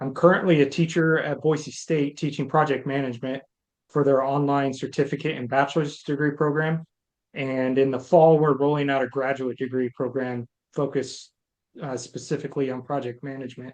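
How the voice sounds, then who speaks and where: A man with a fairly high pitch speaks in a monotone, flat intonation. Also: fairly quick pace. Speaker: candidate, Air Force veteran and project management teacher. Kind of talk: self-introduction in online meeting. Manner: fast.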